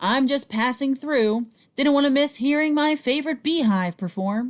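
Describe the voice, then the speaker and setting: Using a put-on character voice, a woman talks high in pitch at a moderate pace. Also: very even loudness. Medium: read story. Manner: genial.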